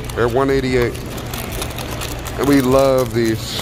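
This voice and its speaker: A man's monotone, flat voice at a moderate pace, dry with no echo, over noticeable background noise. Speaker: family vlogger. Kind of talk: casual vlog chat. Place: shop. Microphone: phone near.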